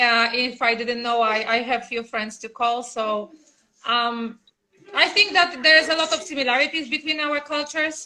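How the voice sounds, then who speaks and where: A woman's high-pitched, raised, projected voice with a Polish accent, at a moderate pace and ordinary pitch variation. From Poland. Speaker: mother of the channel's child. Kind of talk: interview. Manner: halting.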